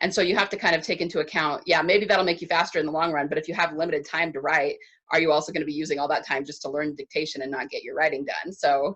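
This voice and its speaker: Talking at a very fast pace, a woman keeps a fairly low pitch with ordinary pitch variation. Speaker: podcast host and writing coach. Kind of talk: interview conversation. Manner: slurs words together.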